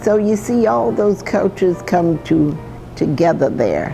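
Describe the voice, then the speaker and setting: Over music in the background, a woman talks at a fairly slow pace with lively intonation. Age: 80s+. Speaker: chef and restaurant owner. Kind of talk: interview answer. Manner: storytelling.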